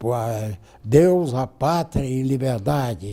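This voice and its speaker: Lively intonation runs through this man's speech. His tone is dark and mellow, and somewhat breathy. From Brazil, northern Minas Gerais (Montes Claros). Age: 80s+. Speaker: lawyer and former politician. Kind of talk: interview. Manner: halting, with repetitions.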